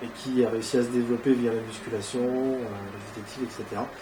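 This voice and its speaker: At a moderate pace, a man speaks in a medium pitch, with audible room echo and noticeable background noise. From northern France (Ardennes). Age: 20s. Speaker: amateur bodybuilder. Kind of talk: interview. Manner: hesitant, many fillers.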